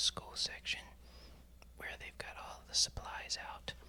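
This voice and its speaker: Someone is whispering at a moderate pace in a relaxed tone. Noticeable background noise can be heard. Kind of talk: ASMR whispered voiceover while shopping and organizing store shelves; casual talk to camera. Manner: whispered, relaxed.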